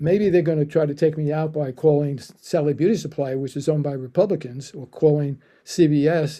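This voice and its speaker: This man's voice is fairly high in pitch, with a dark, mellow tone. He moves at a fairly quick pace with ordinary pitch variation. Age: 80s+. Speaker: business founder. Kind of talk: casual chat. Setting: podcast interview. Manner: halting.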